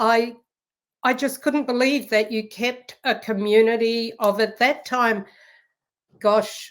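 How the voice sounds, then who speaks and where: At a very slow pace with long, frequent pauses, a woman with a New Zealand accent speaks at fairly high pitch in monotone, flat intonation, on a very clean recording with a silent background. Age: 60s. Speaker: professor. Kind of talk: interview.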